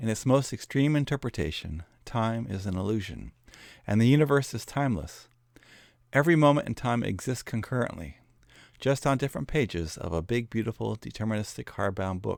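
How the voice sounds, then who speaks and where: A man with an American accent and an unremarkable speaking voice talks at a medium pitch and fairly quick pace with lively intonation. The recording is very clean with a silent background. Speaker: educational video narrator. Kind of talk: scripted narration. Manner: formal.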